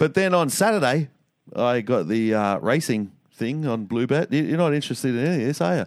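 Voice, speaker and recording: A man speaks at a fairly quick pace with an Australian accent. His pitch swings very widely. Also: medium pitch for a man. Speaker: podcast co-host. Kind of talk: casual banter podcast.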